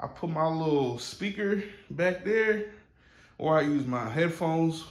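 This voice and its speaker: A man's voice with audible room echo. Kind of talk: casual vlog chat. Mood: relaxed, pleased. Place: home room. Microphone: phone near.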